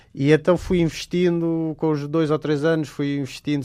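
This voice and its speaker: Here a man speaks at a moderate pace with a European Portuguese accent. The background stays quiet. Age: 30s. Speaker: wildlife photographer. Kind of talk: radio interview. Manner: hesitant, many fillers.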